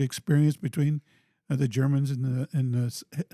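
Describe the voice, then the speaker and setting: In a dry, close recording with no echo, a man with an American accent speaks at a fairly high pitch, sounding somewhat breathy. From Topeka, Kansas, US Midwest. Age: 70s. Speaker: city mayor, former police officer. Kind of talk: podcast interview. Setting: studio in a former high school building. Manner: halting, many fillers.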